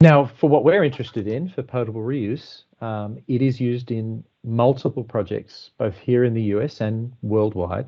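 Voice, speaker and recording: A man with an Australian accent speaks at a medium pitch. His pace is moderate. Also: ordinary pitch variation, hardly any pauses. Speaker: water engineering consultant. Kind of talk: technical presentation. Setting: online call.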